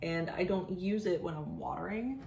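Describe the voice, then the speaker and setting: Audible room echo, noticeable background noise, and lively intonation throughout. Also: woman. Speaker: plant content creator. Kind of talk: casual vlog tutorial. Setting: at home, kitchen counter. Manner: halting, stumbling over words.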